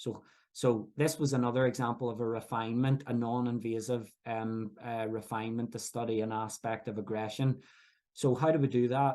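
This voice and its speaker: In a Northern Irish accent, a man talks at a medium pitch with monotone, flat intonation. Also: moderate pace. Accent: Northern Irish (Belfast). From Northern Ireland, Belfast. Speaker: professor. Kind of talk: lecture. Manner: halting, frequent fillers and restarts.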